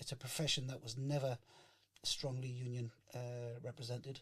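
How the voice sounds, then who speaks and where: Somewhat breathy and delivered in a monotone, flat intonation, the voice carries a Geordie accent. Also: man. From northern England, Newcastle. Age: 60s. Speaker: chef and union founder. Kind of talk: interview. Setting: podcast. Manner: hesitant, many fillers.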